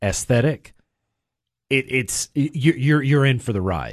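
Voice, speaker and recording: The man's voice sits at a medium pitch with ordinary pitch variation, heard in a dry, close sound with no echo. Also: quiet background. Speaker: film reviewer. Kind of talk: casual banter. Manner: rambling, halting.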